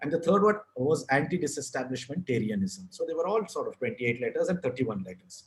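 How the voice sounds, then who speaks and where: At a very fast pace, a man with a Kannada accent speaks in a fairly high pitch with vocal fry and very wide pitch swings. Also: hardly any pauses. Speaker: author and advertising writer. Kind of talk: podcast interview.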